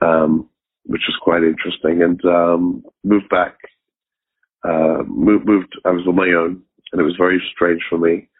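The man's voice is very deep and low, with fairly even intonation. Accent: English. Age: 40s. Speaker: recovering addict. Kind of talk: testimony. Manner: halting.

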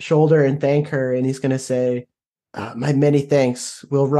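The background is quiet behind a natural reading voice.

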